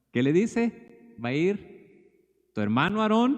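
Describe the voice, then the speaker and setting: His pitch swinging very widely, a man speaks at a fairly slow pace. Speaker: preacher. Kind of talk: sermon.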